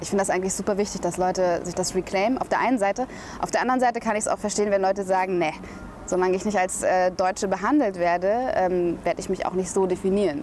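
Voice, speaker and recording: Music plays in the background. The speech is very fast, with fairly even intonation. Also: woman, medium pitch for a woman. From Berlin, Germany. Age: 20s. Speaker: journalist and spoken word artist. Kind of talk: interview answer.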